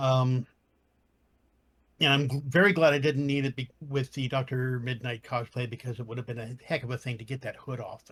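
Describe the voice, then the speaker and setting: Talking at a fairly quick pace, a man with a plain, everyday voice keeps a medium pitch and fairly even intonation while his loudness swings widely. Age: 60s. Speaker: cosplayer. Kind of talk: panel podcast discussion.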